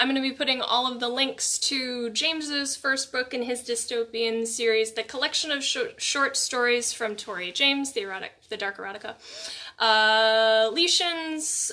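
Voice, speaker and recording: A woman uses a raised, projected voice at a high pitch. Her pace is moderate and her pitch varies in an ordinary way. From New York. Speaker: online show host. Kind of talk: casual chat. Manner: casual, hesitant with fillers.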